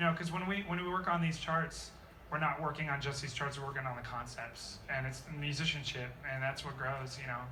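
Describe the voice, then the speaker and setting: Amid noticeable background noise and audible room echo, a man speaks fairly quickly in a fairly high voice with fairly even intonation. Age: young. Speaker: high school jazz band director. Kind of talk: interview.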